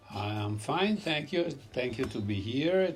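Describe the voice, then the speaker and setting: A man speaks with an Italian accent. His intonation is lively. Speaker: restaurant owner. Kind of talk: interview. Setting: in a restaurant. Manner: halting.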